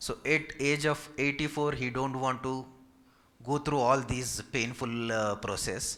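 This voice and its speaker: Speaking with a Telugu accent, a man uses a medium pitch and a bright, sharp tone. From India, Hyderabad. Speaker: physiotherapist. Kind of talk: Q&A session with community seniors. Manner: polite, formal.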